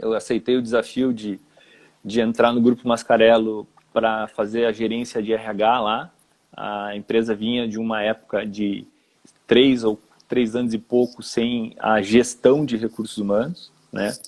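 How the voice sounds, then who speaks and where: A man talks at a fairly slow pace with medium pitch. His intonation is monotone and flat. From Rio Grande do Sul, southern Brazil. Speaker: HR manager. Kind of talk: live-stream interview. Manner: hesitant, with repetitions.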